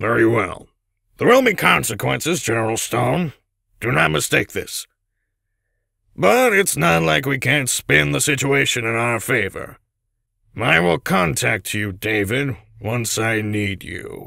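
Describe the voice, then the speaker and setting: A raspy man's voice of medium pitch moves at a fairly slow pace with very wide pitch swings and long, frequent pauses. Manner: angry, scolding.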